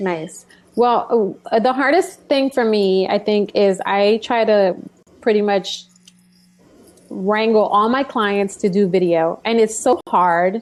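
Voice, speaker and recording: A woman speaks very slowly at a medium pitch with ordinary variation. Her loudness stays very even. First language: not English. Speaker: brand coach and live show host. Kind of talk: casual interview chat.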